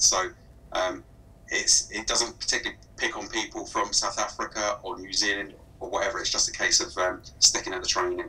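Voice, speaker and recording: Faint music plays in the background as a man with a southern English accent speaks at a fairly quick pace. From southern England. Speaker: speech recognition software specialist; guest. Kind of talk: webinar Q&A. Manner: halting, many fillers. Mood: calm, explanatory. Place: home room.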